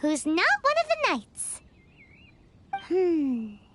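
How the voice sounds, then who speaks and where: The voice is a squeaky, put-on character voice. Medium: video game. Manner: excitable, chatty.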